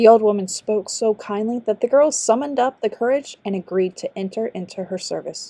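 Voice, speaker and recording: Dry and close with no echo, a woman's voice has a dark, mellow tone and a fairly high pitch. She speaks at a fairly quick pace with hardly any pauses and ordinary pitch variation. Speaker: audiobook narrator, amateur voice actor. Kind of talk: fairy tale audiobook narration. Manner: storytelling, narrative.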